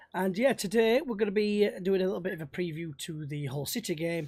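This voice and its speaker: Heard in a very clean recording with a silent background, a man with a Yorkshire accent speaks with ordinary pitch variation. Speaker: football podcast host. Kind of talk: casual chat.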